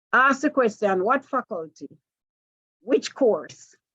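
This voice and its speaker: A woman with a Jamaican accent speaks at a fairly slow pace and a high pitch, with lively intonation. The sound is dry and close with no echo, over a quiet background. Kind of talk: training seminar lecture.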